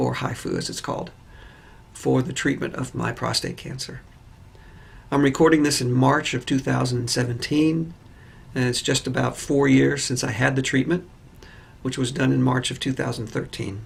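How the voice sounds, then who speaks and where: Moderate pace from a man of medium pitch, with vocal fry, fairly even intonation and long, frequent pauses. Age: 60s. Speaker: patient. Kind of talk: testimony. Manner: hesitant with fillers.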